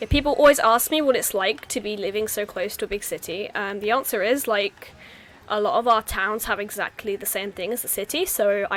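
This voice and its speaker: This woman talks fairly quickly with a southern English accent, her pitch fairly high and its variation ordinary. Noticeable background noise sits under her voice. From southeast England, home counties. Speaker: stream host. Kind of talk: casual chat.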